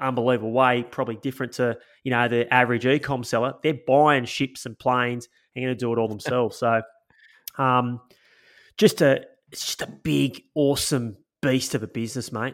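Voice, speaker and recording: A man with an Australian accent and a medium pitch speaks at a moderate pace in an enthusiastic tone. The recording is very clean with a silent background. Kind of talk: casual chat.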